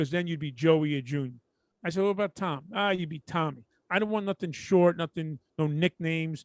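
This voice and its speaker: A man's high voice in a Brooklyn accent, fairly quick, with ordinary pitch variation and a dry, close sound with no echo against a quiet background. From Brooklyn, New York. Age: middle-aged. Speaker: podcast co-host. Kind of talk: casual chat.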